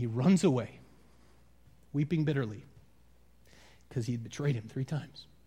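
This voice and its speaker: Somewhat breathy, a man with an American accent talks at a moderate pace with ordinary pitch variation and long, frequent pauses. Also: medium pitch for a man. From US Midwest, Wisconsin. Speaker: pastor. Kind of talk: sermon. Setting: church.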